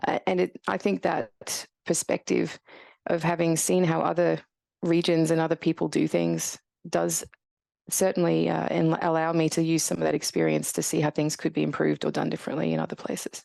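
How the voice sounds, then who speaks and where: In a strong Australian accent, the speaker talks at a fairly quick pace with very even loudness, the sound dry and close with no echo over a quiet background. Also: woman. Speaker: radiologist and professor. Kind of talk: podcast interview.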